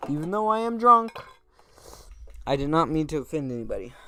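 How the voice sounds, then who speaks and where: Noticeable background noise behind a male voice with ordinary pitch variation. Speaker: gaming streamer. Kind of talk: casual chat. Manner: rambling, halting.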